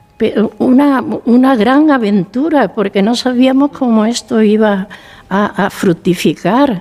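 Her pace is very slow. The woman's pitch is fairly high, with ordinary pitch variation. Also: very even loudness. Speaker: founder of a senior cohousing community. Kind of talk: radio interview.

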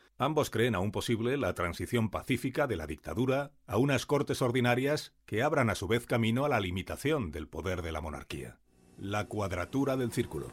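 On a very clean recording with a silent background, a man with vocal fry speaks at a moderate pace, his medium pitch taking very wide swings. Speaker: narrator. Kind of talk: scripted narration of 1931 newspaper reports. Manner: measured, formal, even-paced newsreel delivery.

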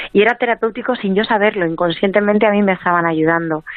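A woman at a very fast pace, her intonation fairly even. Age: 40s. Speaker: author and emotional wellbeing coach. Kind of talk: interview.

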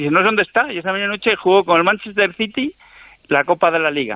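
A high-pitched man speaking at a very fast pace with lively intonation. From Cantabria, Spain. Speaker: radio show caller. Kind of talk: casual chat.

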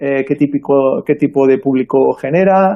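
This is an unremarkable speaking voice from a man with a fairly high pitch. His intonation stays fairly even. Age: 40s. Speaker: early-retired investor and author. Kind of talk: radio interview. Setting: remote call from abroad.

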